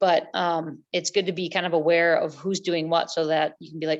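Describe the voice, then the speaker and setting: Against a quiet background, a woman with a fairly low pitch talks at a fairly quick pace and with fairly even intonation. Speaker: adventure racer. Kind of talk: casual chat. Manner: fast.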